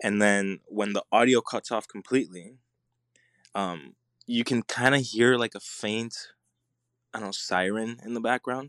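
A man with a Puerto Rican accent speaks at a moderate pace and medium pitch, with fairly even intonation and long, frequent pauses. The sound is dry and close with no echo, over a quiet background. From Puerto Rico. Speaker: filmmaker. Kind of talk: casual chat.

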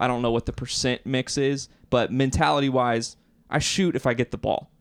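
A man uses an ordinary speaking voice, medium in pitch and at a moderate pace, on a very clean recording with a silent background. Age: 20s. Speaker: basketball podcast co-host. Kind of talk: casual chat.

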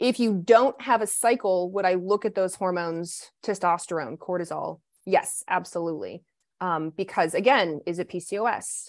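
A woman at a medium pitch with an American accent, a plain, everyday voice, ordinary pitch variation, and a moderate pace. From US, Kentucky (Lexington). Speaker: naturopathic doctor. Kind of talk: podcast interview.

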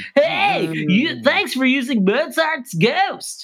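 A put-on character voice with a high pitch and very wide pitch swings. It moves at a very slow pace. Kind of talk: chipper, casual.

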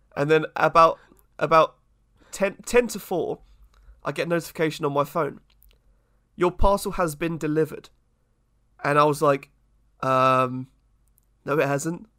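A man with a British accent speaks at a fairly high pitch in a bright, sharp tone, pausing long and often. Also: ordinary pitch variation, moderate pace. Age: 20s. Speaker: podcast co-host. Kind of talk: casual chat.

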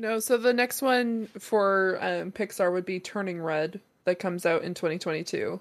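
A woman uses a normal speaking voice at a medium pitch with ordinary pitch variation. She talks at a fairly slow pace with hardly any pauses, in a very clean recording with a silent background. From Canada. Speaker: podcast host and streamer. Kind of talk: casual chat.

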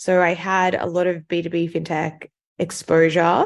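Against a quiet background, a woman with an Australian accent speaks very slowly in a fairly low, monotone voice with flat intonation. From Sydney, Australia. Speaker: venture capital investor. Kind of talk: interview conversation.

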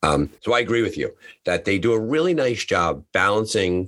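Man talking at a fairly quick pace, very clean recording with a silent background. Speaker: podcast host. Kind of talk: casual interview chat.

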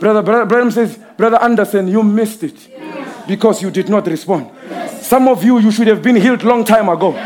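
A man's high-pitched voice with an animated tone, at a fairly quick pace, over noticeable background noise. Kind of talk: sermon. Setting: church with live congregation. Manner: animated, call-and-response preaching, scolding the congregation with vivid imagery.

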